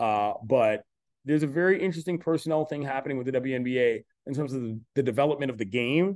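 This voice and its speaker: Very fast male speech with ordinary pitch variation. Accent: American. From Washington DC. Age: 40s. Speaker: sports journalist. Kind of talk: casual chat.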